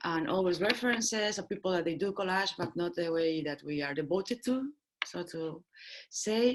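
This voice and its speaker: The speech runs at a moderate pace against a quiet background. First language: not English. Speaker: collage artist. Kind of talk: panel discussion.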